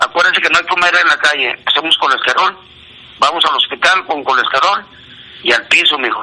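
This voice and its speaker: Noticeable background noise surrounds a man speaking with a northern Mexican accent. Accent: Juárez border Spanish. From northern Mexico border, Ciudad Juárez. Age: 60s. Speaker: amateur barefoot runner. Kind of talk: phone monologue of health tips. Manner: fast.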